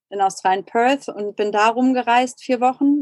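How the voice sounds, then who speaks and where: Dry and close, with no echo, the sound carries a woman speaking at a moderate pace. She has a normal speaking voice with ordinary pitch variation. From Germany. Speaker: emigrant entrepreneur. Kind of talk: casual chat.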